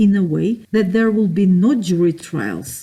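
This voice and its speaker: The voice is dark, mellow and somewhat breathy, with ordinary pitch variation. It moves at a fairly slow pace. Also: woman. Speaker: self-styled judge and author. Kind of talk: spoken talk or lecture with voice-over. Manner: indignant, accusatory.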